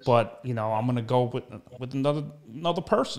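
With a New York accent, a man talks at a very fast pace. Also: quiet background. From US Northeast, Brooklyn New York. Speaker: internet show host, actor and impressionist; internet show host, actor. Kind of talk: casual interview chat. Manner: animated. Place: home room. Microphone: studio mic.

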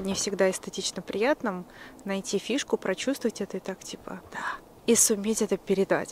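Over light background noise, a woman speaks with ordinary pitch variation in a dry sound with no echo. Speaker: vlogger. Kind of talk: casual vlog chat. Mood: dreamy, cozy, admiring. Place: street. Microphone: phone near.

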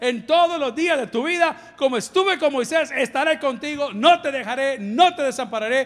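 A man speaks at a moderate pace with an extremely high pitch. His intonation is lively. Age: 50s. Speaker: pastor. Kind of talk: sermon. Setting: church. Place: church. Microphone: handheld.

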